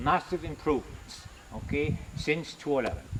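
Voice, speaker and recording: Noticeable background noise accompanies a man's moderate-paced speech. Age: 70s. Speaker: religious brother and retired agriculture teacher. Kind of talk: video address.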